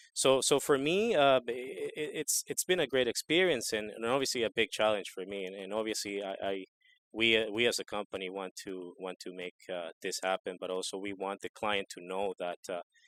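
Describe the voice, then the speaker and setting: With a Spanish accent, a man of fairly low pitch talks at a moderate pace with ordinary pitch variation and hardly any pauses, in a dry, close sound with no echo. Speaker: equipment salesperson. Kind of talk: interview. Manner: halting, many repeated words.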